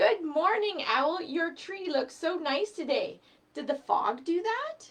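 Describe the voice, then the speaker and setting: A woman does a put-on character voice at an extremely high pitch. She speaks at a fairly slow pace. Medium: read story.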